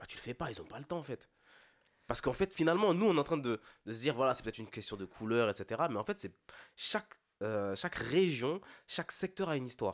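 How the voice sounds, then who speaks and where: A man's medium-pitched voice at a very fast pace, with very wide pitch swings and long, frequent pauses, on a very clean recording with a silent background and a dry, close sound with no echo. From Ile-de-France, Antillean family. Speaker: podcast co-host. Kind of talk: casual chat.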